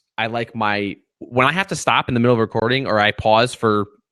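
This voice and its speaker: Here a man has an ordinary speaking voice at a medium pitch and a fairly quick pace. The recording is very clean with a silent background, dry and close with no echo. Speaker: podcaster. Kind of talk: casual chat.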